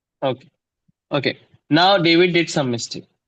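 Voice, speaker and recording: A man with an Indian accent, high pitch and ordinary pitch variation. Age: 20s. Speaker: math tutor. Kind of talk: online class lesson. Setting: video call.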